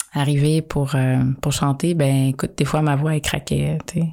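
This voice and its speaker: A woman's very deep, low voice, monotone and flat, at a very slow pace. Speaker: podcast co-host, singer. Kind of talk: casual chat.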